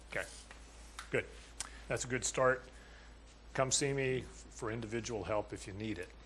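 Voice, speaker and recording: A man's voice with audible room echo. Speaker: college math instructor. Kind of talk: lecture. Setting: classroom with students.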